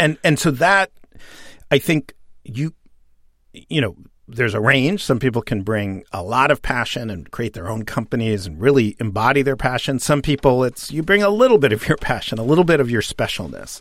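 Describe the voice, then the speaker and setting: In a very clean recording with a silent background, a man speaks with an American accent at a moderate pace. His medium-pitched voice swings very widely. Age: 40s. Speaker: author and journalist. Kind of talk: interview.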